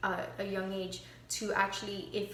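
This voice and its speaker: Heard with audible room echo, a woman talks at a medium pitch with a slight Miami accent. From Miami, Florida. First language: Spanish. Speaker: student. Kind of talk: class reflection monologue. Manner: halting, many fillers.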